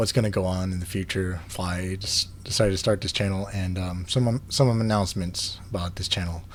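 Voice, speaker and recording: Somewhat breathy and very deep, a man's voice moves at a fairly quick pace with fairly even intonation. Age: 30s. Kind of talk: casual vlog talk to camera. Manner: hesitant, many fillers.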